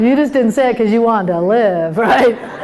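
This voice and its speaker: There is noticeable background noise behind a woman with an American accent. Her pitch is fairly high, with ordinary variation. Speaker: comedian and keynote speaker. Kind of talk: humorous keynote talk to a live conference audience. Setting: live stage with audience. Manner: lively, conversational, comedic timing.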